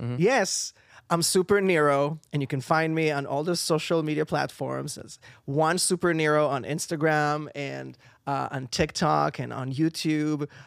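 Speaking with an Israeli accent, a man with a fairly high pitch talks at a moderate pace in fairly even intonation, on a very clean recording with a silent background. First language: Hebrew. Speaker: singer and voice actor. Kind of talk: casual interview. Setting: studio. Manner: halting.

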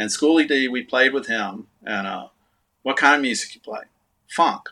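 Speaking at a moderate pace, a man talks with a Texan accent. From Texas. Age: 60s. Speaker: artist and musician. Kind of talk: casual chat. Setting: video call.

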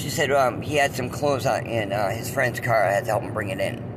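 A man's medium-pitched voice with ordinary pitch variation, audible room echo and noticeable background noise. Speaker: podcast host. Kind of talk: personal storytelling monologue. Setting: in a car.

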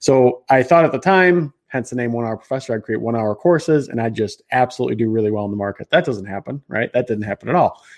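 A man talks at a very fast pace with a slight Chicago accent. The background is quiet. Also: dry, close sound with no echo. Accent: slight Chicago Midwestern American. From Chicago, US Midwest. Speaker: marketing entrepreneur and online educator. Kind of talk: live-streamed interview chat. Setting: live video stream from a studio.

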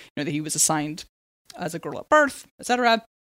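A woman with an American accent talks very fast at a fairly low pitch. The recording is very clean, with a silent background. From San Diego, California. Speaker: book editor and podcast co-host. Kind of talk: casual chat.

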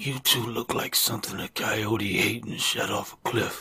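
In a put-on character voice, a man mumbles in a raspy, medium pitch. He keeps a moderate pace with monotone, flat intonation. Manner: mumbling, weakly humorous.

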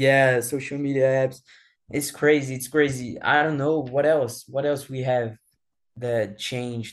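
A man speaks with a Brazilian accent at a medium pitch. He talks fairly slowly, in a monotone, flat intonation. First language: Portuguese. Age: 20s. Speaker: former exchange student, now college student. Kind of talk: casual interview. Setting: remote call from Brazil. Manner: halting, searches for English words.

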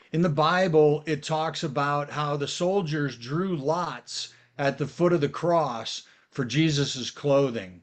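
With an American accent, a man speaks at a very slow pace and a fairly high pitch, with ordinary pitch variation. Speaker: auctioneer. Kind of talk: interview. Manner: clear, articulate speaker.

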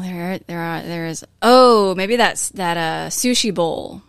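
A woman at a medium pitch talks in an unremarkable speaking voice with ordinary pitch variation and a fairly slow pace. The recording is very clean, with a silent background. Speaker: guest, partner of host. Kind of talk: casual chat.

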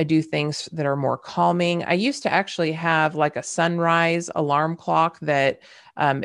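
A woman speaks with a slight Southern US accent. The background is quiet. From California. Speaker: podcast host, leadership coach. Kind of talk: solo podcast monologue, conversational.

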